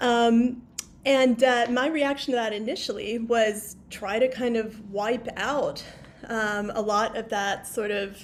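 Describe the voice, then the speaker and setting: An unremarkable speaking voice from a woman, fairly high in pitch, with an American accent and fairly even intonation. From US South, Memphis, Tennessee. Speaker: author. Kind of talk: interview. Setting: video call.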